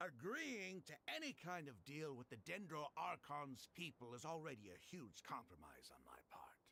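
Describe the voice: In a put-on character voice, a man uses fairly high pitch with very wide swings, a bright, sharp tone and vocal fry. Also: moderate pace.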